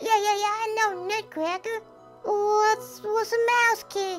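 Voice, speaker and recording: In a cartoonish character voice at an extremely high pitch, someone talks at a fairly slow pace with clear music in the background. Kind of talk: comedic puppet show dialogue.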